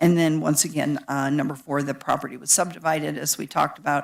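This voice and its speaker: Very deep and low in pitch, a woman with an American accent and vocal fry talks at a fairly quick pace in a very clean recording with a silent background. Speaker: county planning staff presenter. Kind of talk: public meeting presentation. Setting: public board meeting. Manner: halting, many fillers.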